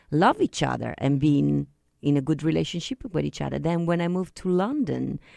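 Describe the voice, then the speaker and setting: Someone with an Italian accent talks at a fairly quick pace on a very clean recording with a silent background. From Italy. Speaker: singer-songwriter. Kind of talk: radio interview. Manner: halting.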